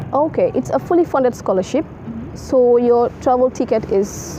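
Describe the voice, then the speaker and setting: A woman's high-pitched voice at a moderate pace, ordinary pitch variation, and noticeable background noise. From The Gambia. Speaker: international student. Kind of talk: interview.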